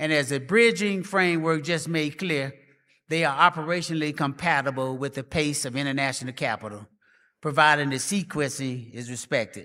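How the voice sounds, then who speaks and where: A man with a Memphis accent has a fairly high pitch and a bright, sharp tone. The recording is very clean with a silent background. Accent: Memphis, Tennessee (Southern US). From US South, Memphis, Tennessee. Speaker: professor, conference speaker. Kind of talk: conference speech.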